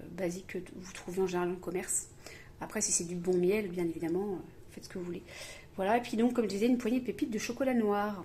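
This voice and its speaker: Her pitch sits at a medium level for a woman, with ordinary variation. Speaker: home cooking video host. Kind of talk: cooking tutorial. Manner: fast; hesitant, many fillers.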